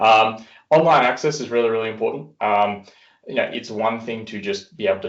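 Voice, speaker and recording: Talking at a very fast pace, a man speaks with an Australian accent. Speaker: software industry executive. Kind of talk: webinar presentation. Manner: casual, many fillers.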